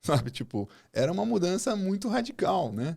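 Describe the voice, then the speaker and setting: Very wide pitch swings in a high male voice. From Brazil, Rio de Janeiro and Goiás. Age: 40s. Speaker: agribusiness executive and mentor. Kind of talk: casual podcast interview.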